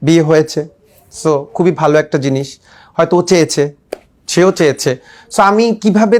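Pitch variation is ordinary in this male voice. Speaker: youth organization founder. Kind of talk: interview. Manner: halting.

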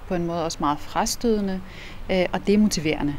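This is a woman's voice with ordinary pitch variation. Light noise sits in the background. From Iraq. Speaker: politician. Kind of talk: interview. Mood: calm, thoughtful. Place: street.

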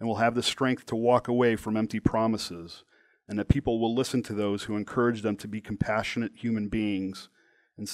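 An unforced reading voice comes through with fairly even intonation.

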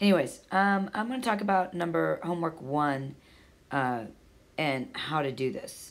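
At a moderate pace, a woman with a fairly low voice makes very wide pitch swings. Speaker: math tutor. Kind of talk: tutorial. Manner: halting, many fillers.

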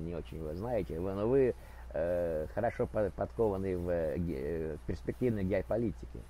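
A man's very deep, low voice with a dark, mellow tone moves through very wide pitch swings, recorded dry with no echo over light background noise. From Ukraine, Kharkiv; Ukraine. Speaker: video blogger. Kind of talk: prank chat roulette conversation. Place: home room. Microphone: video call.

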